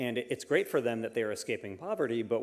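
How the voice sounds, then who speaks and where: A man speaks at a medium pitch in a normal speaking voice. The background is quiet. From United States. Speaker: author; panel expert. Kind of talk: panel discussion. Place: hall. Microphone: handheld.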